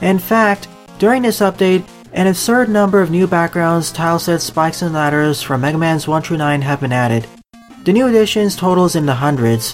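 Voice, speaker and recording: Music plays in the background as the speaker moves along at a fairly quick pace. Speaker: video game commentator. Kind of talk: game commentary voice-over.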